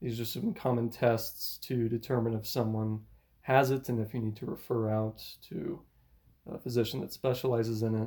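A man with a dark, mellow tone speaks at a medium pitch, somewhat breathy. His pace is moderate and his pitch varies in an ordinary way. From US, military family, moved around a lot. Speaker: physical therapist. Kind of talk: casual interview.

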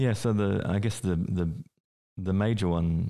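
In an Australian accent, a man talks with a very deep, low pitch and a dark, mellow tone against a quiet background. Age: 40s. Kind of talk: interview. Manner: hesitant, many fillers.

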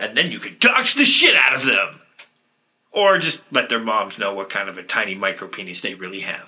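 Here a man talks at a moderate pace. His loudness swings widely. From Alberta, Canada. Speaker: podcast co-host. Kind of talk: casual chat.

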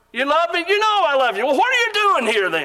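In a raised, projected voice, a man speaks with very wide pitch swings. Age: 60s. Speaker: preacher. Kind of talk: sermon. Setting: auditorium with audience.

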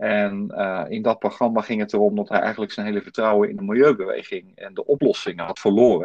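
In a dry, close recording with no echo, a man speaks at a fairly quick pace. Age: 50s. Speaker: podcast host. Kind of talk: interview. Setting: home, remote recording via app.

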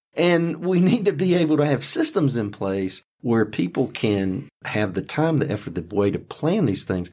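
Using very wide pitch swings, a man with an American accent speaks at a moderate pace. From rural North Carolina. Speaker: podcast host, county official. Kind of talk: podcast interview.

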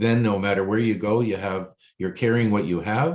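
A man speaks in a plain, everyday voice, fairly low in pitch with ordinary pitch variation. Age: 60s. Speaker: financial planner. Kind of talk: casual chat.

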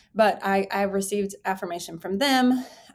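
In a very clean recording with a silent background, a woman with an American accent and an ordinary speaking voice talks at a fairly slow pace and medium pitch. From Texas. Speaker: pastor. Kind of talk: interview.

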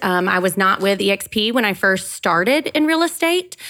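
On a very clean recording with a silent background, a woman with an American accent talks at a medium pitch and moderate pace in a bright, sharp tone. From Georgia, US South. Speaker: real estate agent. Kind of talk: casual chat. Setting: studio, in person with hosts.

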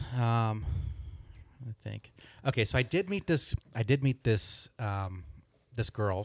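A man with an American accent speaks fairly slowly at a medium pitch, using lively intonation and long, frequent pauses. The recording is very clean with a silent background, and the sound is dry and close with no echo. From Southern California. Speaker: podcast guest. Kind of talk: casual chat. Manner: halting.

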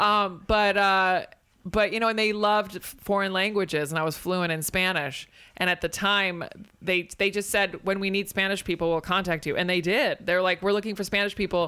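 On a very clean recording with a silent background, a bright, sharp voice with an American accent holds fairly even intonation. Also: woman, medium pitch for a woman, moderate pace. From Spain (American family). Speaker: stand-up comedian. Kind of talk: casual chat.

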